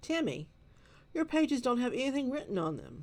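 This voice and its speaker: Putting on a character voice, a woman talks at a fairly quick pace in a high pitch with very wide swings. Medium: read story. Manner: firm, schoolmarmish.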